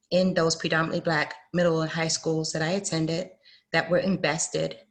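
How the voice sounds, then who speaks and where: Against a quiet background, a woman in an American accent speaks at a fairly low pitch. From Fort Lauderdale, Florida (born UK, Jamaican parents). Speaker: panelist on diversity and inclusion. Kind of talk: panel discussion.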